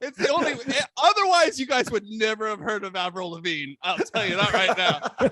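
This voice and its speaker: This man speaks in a raised, projected voice, high-pitched for a man, with very wide pitch swings and hardly any pauses. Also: moderate pace. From Canada. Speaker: comedian. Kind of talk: casual chat. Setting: game show.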